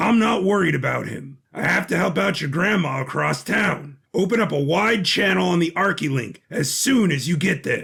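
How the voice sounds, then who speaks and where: A man's raspy, high put-on character voice at a moderate pace with hardly any pauses. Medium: audio drama. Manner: dry, wisecracking.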